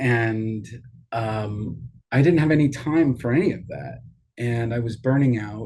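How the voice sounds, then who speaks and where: With an American accent, a man speaks fairly slowly at a medium pitch, somewhat breathy. His pitch varies in an ordinary way while his loudness swings widely. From New York. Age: 60s. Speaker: leadership advisor. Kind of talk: interview.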